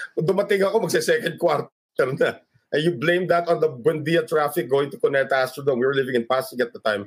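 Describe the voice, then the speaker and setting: A man with a Filipino accent, very fast pace and lively intonation. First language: Tagalog. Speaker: sports broadcaster. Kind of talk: casual interview.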